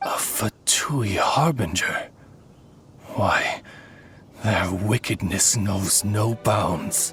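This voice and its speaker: Faint music plays behind a put-on character voice. The pace is very slow. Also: man, fairly low pitch for a man. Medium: machinima. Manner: polite, formal, old-fashioned.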